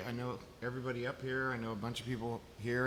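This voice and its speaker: Audible room echo follows a man of medium pitch who speaks with an American accent at a fairly quick pace. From Chicago, US. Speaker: eco surfboard builder. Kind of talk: panel discussion. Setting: stage with audience. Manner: loud; animated.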